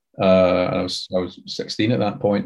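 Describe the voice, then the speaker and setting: The speaker is a man. He talks with a Glaswegian accent. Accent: Glaswegian Scottish. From Scotland, Glasgow. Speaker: TV and audio drama writer. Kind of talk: interview.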